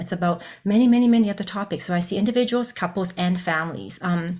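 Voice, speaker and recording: A woman with a Canadian accent talks at a fairly quick pace in a somewhat breathy voice with ordinary pitch variation. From Canada, Regina and Calgary. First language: Cantonese. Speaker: psychologist. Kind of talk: presentation.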